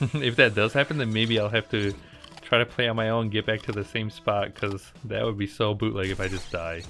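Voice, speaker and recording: With music in the background, a man talks fairly quickly in a fairly low pitch with fairly even intonation. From Slovakia. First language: Slovak. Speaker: gaming YouTuber. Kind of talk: let's play commentary. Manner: casual, chatty.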